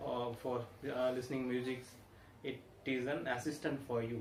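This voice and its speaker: With audible room echo and noticeable background noise, a man with an Indian accent speaks at a moderate pace and a medium pitch. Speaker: tech reviewer. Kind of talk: product review. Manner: halting, many fillers.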